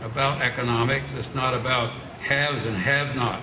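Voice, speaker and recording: Over noticeable background noise, a man speaks at a fairly slow pace and a medium pitch. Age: 90s. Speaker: war veteran; speaker. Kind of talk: speech. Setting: stage with audience. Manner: halting. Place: street.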